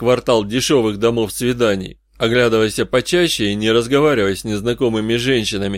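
Someone reads aloud in a natural voice.

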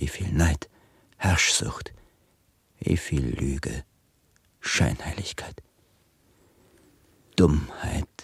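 A man puts on a character voice at an extremely low pitch, husky and rough-edged with vocal fry, and his pitch varies in an ordinary way. He speaks at a very slow pace with long, frequent pauses, in a dry, close sound with no echo.

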